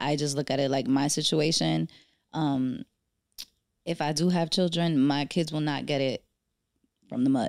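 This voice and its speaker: A woman with a New York accent at a very deep, low pitch, very even in loudness, with long, frequent pauses, on a very clean recording with a silent background. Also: ordinary pitch variation, moderate pace. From New York, the Bronx. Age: 30s. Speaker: financial advisor. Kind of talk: casual chat.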